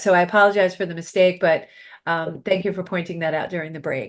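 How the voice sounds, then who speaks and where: Against a quiet background, a woman with a New York accent talks at a medium pitch with ordinary pitch variation. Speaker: podcast host and success coach. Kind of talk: interview talk show.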